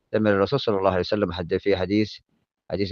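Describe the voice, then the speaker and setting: This man's voice sits fairly low. His intonation is monotone and flat. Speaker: religious lesson translator. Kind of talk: Islamic religious lesson with translation.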